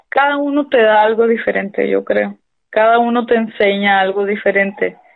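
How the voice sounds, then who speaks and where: A woman's fairly high voice, fairly slow and fairly even in intonation, an unremarkable speaking voice. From Mexico, Sonora (Hermosillo). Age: 30s. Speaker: stage actress. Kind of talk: interview.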